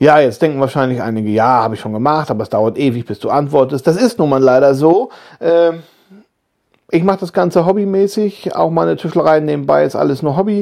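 A man speaks at a fairly high pitch. He keeps a fairly quick pace with lively intonation. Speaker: YouTuber and woodworking podcaster. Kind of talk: casual monologue. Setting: lying in bed at home. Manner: relaxed, hesitant with fillers.

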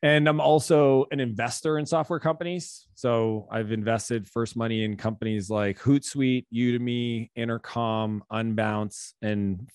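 A man speaks in a plain, everyday voice at a medium pitch. The sound is dry and close with no echo, over a quiet background. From Canada. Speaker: business coach and author. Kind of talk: casual interview.

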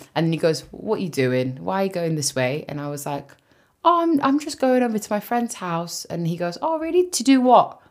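Her tone is animated, with very wide pitch swings. A woman with a London accent talks at a fairly quick pace. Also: medium pitch for a woman. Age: 20s. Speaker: podcast co-host. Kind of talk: casual chat.

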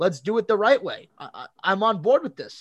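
The background is quiet. A man talks at a moderate pace with a high-pitched voice. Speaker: podcast co-host. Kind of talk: casual sports podcast discussion.

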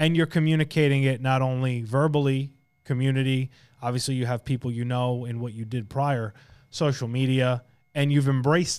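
A man with an American accent speaks at a fairly quick pace in a normal speaking voice of medium pitch and fairly even intonation. The recording is very clean with a silent background. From Long Island, New York. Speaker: podcast host, insurance agency leader. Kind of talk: podcast interview.

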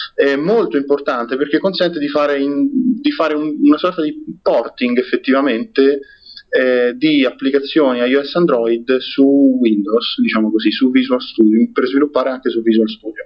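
A man speaks in a fairly high pitch with ordinary pitch variation over noticeable background noise. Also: moderate pace. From Rome, Italy. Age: 20s. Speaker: software developer and community organizer. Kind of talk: podcast interview. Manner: halting, frequent repetitions.

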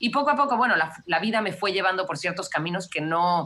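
A bright, sharp tone carries a Mexican accent at a fairly quick pace. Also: woman. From Mexico (Mexico City, raised in Cancún). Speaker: wildlife conservationist. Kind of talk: interview conversation.

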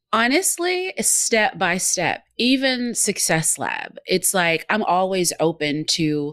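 A woman with a Southern US accent and lively intonation, at a fairly slow pace, on a very clean recording with a silent background. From Georgia, US South. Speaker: business owner and broadcast consultant. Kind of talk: interview.

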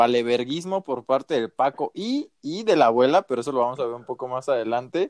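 A man talks with a Mexican accent and ordinary pitch variation. The sound is dry and close, with no echo. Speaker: podcast co-host. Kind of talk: casual chat.

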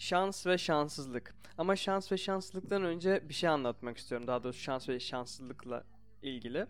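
This man's pitch sits fairly high and his intonation is lively. He keeps a moderate pace. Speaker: podcast host. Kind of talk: casual chat.

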